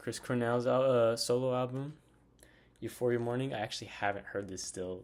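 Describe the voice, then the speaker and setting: The intonation is fairly even. A man is talking, pitched in the medium range. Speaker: music collector vlogger. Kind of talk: casual show-and-tell vlog. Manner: casual with many fillers; fast.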